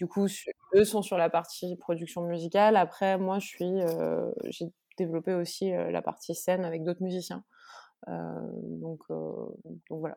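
This woman talks at a fairly slow pace. Her speech has long pauses that come often. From Corsica. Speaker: musician. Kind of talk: interview. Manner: halting.

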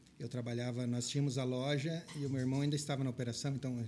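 Here a man with a medium pitch and a dark, mellow tone speaks at a fairly quick pace. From southwestern Paraná, Brazil. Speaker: pet shop business owner and veterinarian. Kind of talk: interview conversation.

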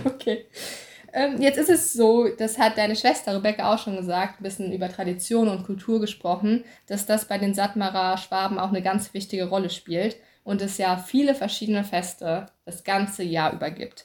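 On a very clean recording with a silent background, a woman speaks at a moderate pace in a medium pitch, her voice somewhat breathy. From German-speaking upbringing (native German). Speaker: podcast host. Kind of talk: interview.

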